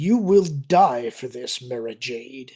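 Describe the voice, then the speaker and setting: Putting on a character voice, a man speaks very slowly with lively intonation. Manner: chilling, menacing.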